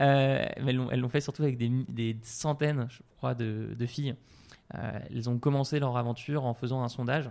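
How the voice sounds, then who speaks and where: Here a man talks at a medium pitch and a moderate pace. His intonation is monotone and flat. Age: 30s. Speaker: CEO of an online training company for entrepreneurs. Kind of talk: casual interview answering listener questions. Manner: halting with frequent repetitions.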